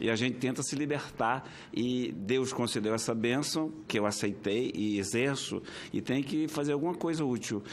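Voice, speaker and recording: A man with an ordinary speaking voice talks at a medium pitch and moderate pace, with ordinary pitch variation and very even loudness. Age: 60s. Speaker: senator. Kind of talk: committee speech. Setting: senate committee hearing.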